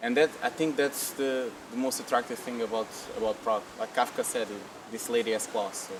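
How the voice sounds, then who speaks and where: A man's medium-pitched voice against noticeable background noise. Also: fairly even intonation, fairly quick pace. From Portugal, family from Angola. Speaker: copywriter. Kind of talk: interview.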